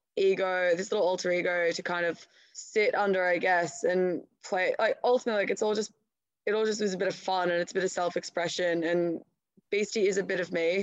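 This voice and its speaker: A woman speaks in an Australian accent. Her medium pitch shows ordinary variation. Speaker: artist. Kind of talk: interview. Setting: phone call.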